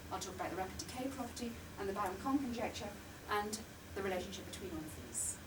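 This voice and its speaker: Over noticeable background noise and audible room echo, a woman with a medium pitch talks at a very fast pace. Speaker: mathematics professor. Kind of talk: lecture. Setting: lecture room with audience, recorded for video link.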